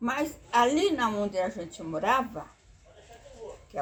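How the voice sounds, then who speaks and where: A woman's pitch swings very widely while noticeable background noise sits under her voice. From Brazil, rural Vale do Paraíba near Jacareí, São Paulo state. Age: 80s+. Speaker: grandmother sharing life memories. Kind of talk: oral history interview. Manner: halting, with repetitions.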